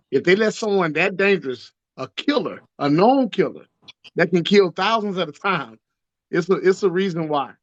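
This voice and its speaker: This man has an American accent. Nothing much can be heard behind him. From Texas. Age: 40s. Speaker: caller on live stream. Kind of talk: casual political chat. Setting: joined a live stream call.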